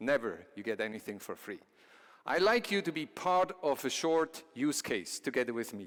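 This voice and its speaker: This man speaks fairly high, his pitch swinging very widely. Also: moderate pace. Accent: Swiss. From Switzerland. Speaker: company CEO, conference speaker. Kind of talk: conference presentation. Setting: stage with audience.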